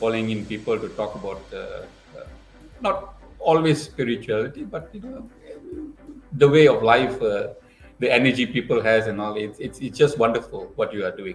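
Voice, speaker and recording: A man talks at a moderate pace with long, frequent pauses and big swings in loudness while music plays in the background. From Singapore. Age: 60s. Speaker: motivational speaker. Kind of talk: interview. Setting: video call. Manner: halting.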